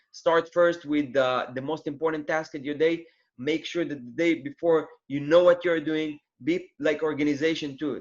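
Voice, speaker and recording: At a moderate pace, a man with a fairly high voice speaks in a monotone, flat intonation. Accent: non-native. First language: not English. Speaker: Amazon seller, former student of host. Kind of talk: interview. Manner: halting.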